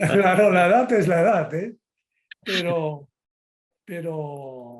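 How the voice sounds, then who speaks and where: A man's high-pitched voice, very slow in pace, with lively intonation. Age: 70s. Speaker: physician, liver specialist. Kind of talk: interview.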